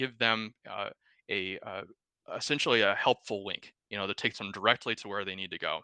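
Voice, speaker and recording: Against a quiet background, a man talks at a fairly quick pace in a bright, sharp tone, the sound dry and close with no echo. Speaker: software sales executive. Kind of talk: product demo presentation. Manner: fast.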